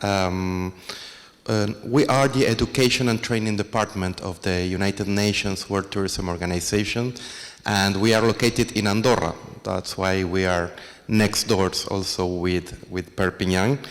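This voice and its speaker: Very slowly and with fairly even intonation, a man talks. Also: fairly low pitch for a man. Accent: strong Argentine. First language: Spanish (speaking French). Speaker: international organization director. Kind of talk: panel presentation.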